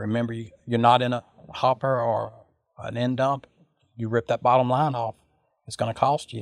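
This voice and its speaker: In a Louisiana accent, the speaker uses a monotone, flat intonation with long, frequent pauses in a dry, close sound with no echo. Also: man, medium pitch for a man, moderate pace. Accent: Southern US (Louisiana). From US South, Louisiana (Sulphur). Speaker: truck driver. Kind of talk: interview.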